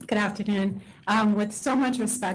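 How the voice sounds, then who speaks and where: A woman talks somewhat breathily at a fairly slow pace and medium pitch. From New York City, Queens. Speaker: wine bar owner. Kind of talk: testimony. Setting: board meeting hearing room.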